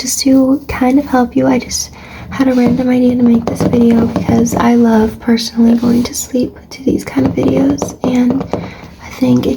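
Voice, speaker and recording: Whispering and soft-spoken, a woman talks at a fairly slow pace against noticeable background noise. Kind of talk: ASMR soft-spoken affirmations and life advice. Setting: low-quality mic recording. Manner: soft-spoken, whispery, relaxing.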